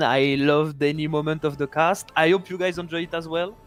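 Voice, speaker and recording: In a very clean recording with a silent background, a man with a French accent talks in a fairly high pitch with fairly even intonation. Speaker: esports co-caster. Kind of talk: casual chat.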